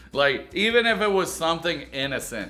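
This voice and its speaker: Audible room echo surrounds a man's high-pitched voice and lively intonation. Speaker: YouTube reaction commentator. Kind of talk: comedic video reaction commentary. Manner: stutters over words sometimes; sarcastic, joking.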